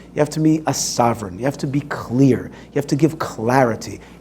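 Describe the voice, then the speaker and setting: A man's fairly quick speech over noticeable background noise. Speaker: speaker and activist. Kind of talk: talk with audience Q&A. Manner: animated.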